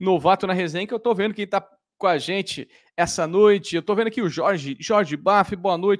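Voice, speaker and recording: Over a quiet background, a high-pitched man speaks at a fairly quick pace with ordinary pitch variation. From Brazil. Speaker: live show host; live stream host. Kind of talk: live stream chat. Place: home room. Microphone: studio mic.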